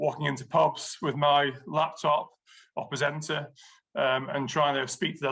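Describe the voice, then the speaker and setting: A man speaks with a bright, sharp tone and a fairly high pitch. His intonation is flat and monotone against a quiet background. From Scotland, then Lancashire (Chorley) from age 10. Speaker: drinks industry executive. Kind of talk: podcast interview. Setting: video podcast. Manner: hesitant with frequent fillers.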